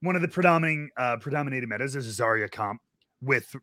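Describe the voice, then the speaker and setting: A man talks at a fairly quick pace with lively intonation and a medium pitch. He has a normal speaking voice. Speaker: podcast host. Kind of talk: casual chat.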